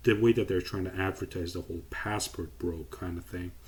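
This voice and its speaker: This man's voice sits at a very deep, low pitch and is somewhat breathy. He moves at a moderate pace with ordinary pitch variation. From Iran. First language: Persian. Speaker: YouTuber. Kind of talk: casual commentary vlog.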